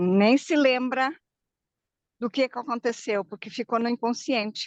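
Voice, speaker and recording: At a fairly slow pace, a woman with a high pitch speaks with ordinary pitch variation in a dry, close sound with no echo and a quiet background. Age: 60s. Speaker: viewer joining live, emotional therapist. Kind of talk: casual chat. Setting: video call while walking outdoors.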